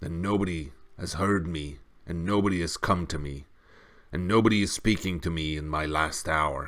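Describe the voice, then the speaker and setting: A man puts on a character voice, growling at a very deep, low pitch. He speaks at a moderate pace. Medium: read story. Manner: growling, low.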